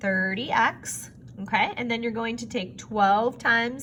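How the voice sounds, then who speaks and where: Speech moves at a very slow pace with ordinary pitch variation. Audible room echo surrounds it. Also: woman. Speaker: math teacher. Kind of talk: recorded lesson for students.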